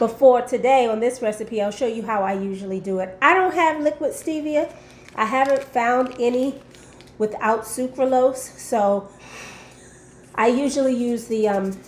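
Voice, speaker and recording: Noticeable background noise runs under this recording. A woman speaks at a moderate pace with lively intonation. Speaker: lifestyle vlogger. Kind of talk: recipe tutorial. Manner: casual, hesitant with many ums.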